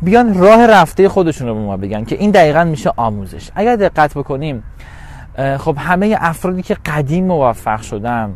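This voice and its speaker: Speaking at a moderate pace, a man with a fairly high pitch moves through very wide pitch swings. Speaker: success coach. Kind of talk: motivational talk. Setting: solo recorded clip.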